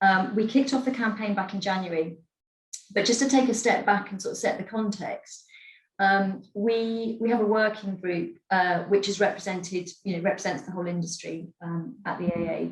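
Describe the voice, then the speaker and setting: A somewhat breathy woman's voice at medium pitch, with ordinary pitch variation and a moderate pace. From Scotland, Edinburgh. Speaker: advertising industry executive. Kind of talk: webinar talk.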